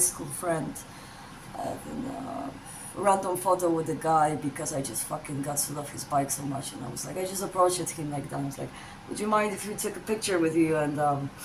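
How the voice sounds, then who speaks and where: In a Polish accent, a woman talks at a moderate pace with lively intonation. Audible room echo and noticeable background noise fill the recording. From Poland. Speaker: vlogger. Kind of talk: casual chat. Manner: hesitant, many ums.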